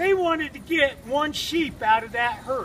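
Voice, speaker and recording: A man's voice swings very widely in pitch, with noticeable noise in the background. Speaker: storyteller. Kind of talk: campfire story. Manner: casual, folksy.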